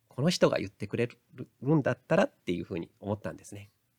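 The voice moves quickly, at a fairly quick pace, with very wide pitch swings. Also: man, dry, close sound with no echo. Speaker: counselor and lecturer. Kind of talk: solo audio podcast monologue. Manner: occasionally stumbling over words.

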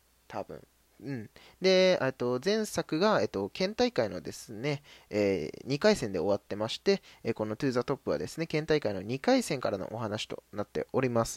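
Very wide pitch swings come through on a very clean recording with a silent background and a dry, close sound with no echo. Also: man, medium pitch for a man. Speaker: anime podcast host. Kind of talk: solo casual radio talk. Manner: fast.

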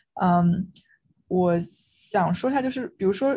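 A woman's dark, mellow voice with vocal fry, at a fairly slow pace. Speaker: law student. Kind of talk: casual chat.

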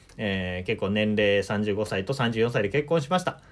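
A fairly slow pace in a very clean recording with a silent background. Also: man. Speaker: solo podcaster and life-planning consultant. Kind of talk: solo monologue talk.

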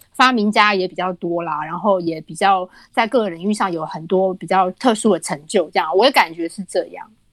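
Dry and close with no echo, a woman's ordinary speaking voice moves with ordinary pitch variation. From Taiwan. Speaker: author. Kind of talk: casual chat.

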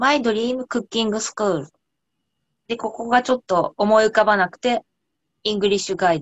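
Her pitch fairly high and its variation ordinary, a woman talks at a fairly quick pace with big swings in loudness and long, frequent pauses. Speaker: cooking researcher. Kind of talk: casual chat.

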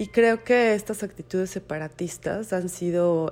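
Her tone is dark and mellow, with a central Mexican accent. The woman talks at a fairly slow pace. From Mexico, Mexico City. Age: 40s. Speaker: book designer and bookseller. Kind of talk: testimony. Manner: halting.

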